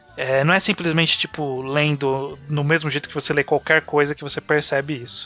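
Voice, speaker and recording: Fairly quick speech from a man, noticeable background noise behind it. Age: 20s. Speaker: podcast host. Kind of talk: casual chat.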